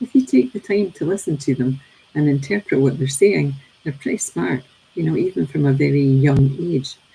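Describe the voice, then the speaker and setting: Speaking with a Scottish accent, a woman talks at a moderate pace. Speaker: teacher and daily reading presenter. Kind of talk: reflective talk on a daily reading. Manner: hesitant, many fillers.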